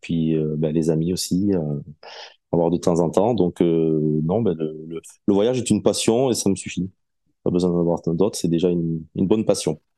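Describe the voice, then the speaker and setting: A man with a southwestern French accent, very deep, low pitch and long, frequent pauses. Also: ordinary pitch variation, moderate pace. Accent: southwest French. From southwest France. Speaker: podcast guest, collector gamer. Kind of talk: interview.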